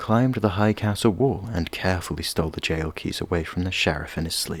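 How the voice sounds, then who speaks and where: A soothing voice with lively intonation moves along at a fairly quick pace. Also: man. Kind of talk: soft ASMR story reading. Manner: soft, soothing.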